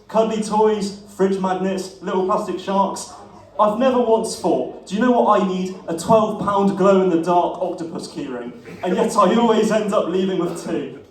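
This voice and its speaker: Ordinary pitch variation at a moderate pace, over noticeable background noise. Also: man, high pitch for a man. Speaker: stand-up comedian. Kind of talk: stand-up comedy set. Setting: live comedy venue.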